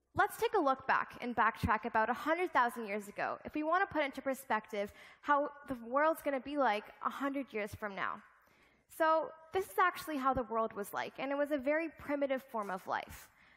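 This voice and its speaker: A woman's high voice with lively intonation at a moderate pace, over a quiet background. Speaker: keynote speaker. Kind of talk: keynote speech. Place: stage.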